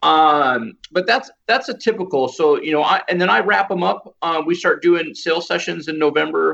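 A man talks at a high pitch with lively intonation. He leaves hardly any pauses. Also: moderate pace. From Iowa. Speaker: photographer. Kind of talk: casual chat.

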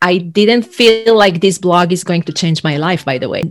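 A woman talks at a medium pitch with an Israeli accent. Her pitch varies in an ordinary way. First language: Hebrew. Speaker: leadership and executive coach. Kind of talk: interview. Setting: video call.

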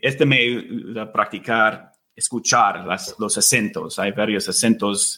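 A very slow pace in an English accent. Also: man. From United States. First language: English (speaking Spanish). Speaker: Spanish learner, host's husband. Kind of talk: casual interview chat. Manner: halting, with many fillers and repetitions.

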